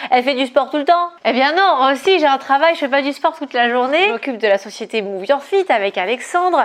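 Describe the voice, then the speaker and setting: Over noticeable background noise, a woman with a high voice talks at a fairly quick pace with hardly any pauses. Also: lively intonation. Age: 30s. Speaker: fitness coach. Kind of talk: casual vlog monologue. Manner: hesitant fillers.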